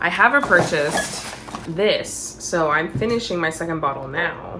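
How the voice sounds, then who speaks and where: A woman talks at a moderate pace over noticeable background noise. Her fairly low voice has lively intonation. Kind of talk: casual talk to camera. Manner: casual, chatty.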